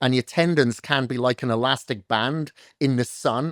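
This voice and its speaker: This is a plain, everyday voice with ordinary pitch variation. The recording is very clean with a silent background and a dry, close sound with no echo. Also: man. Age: 50s. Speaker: fitness coach. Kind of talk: podcast interview.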